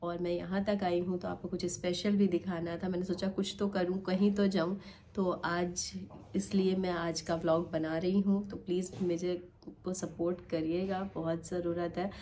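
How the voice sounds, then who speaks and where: Speaking at a fairly slow pace, a woman uses a monotone, flat intonation in a dark, mellow tone with fairly low pitch. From Lucknow, Uttar Pradesh, India. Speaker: vlogger. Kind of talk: vlog narration.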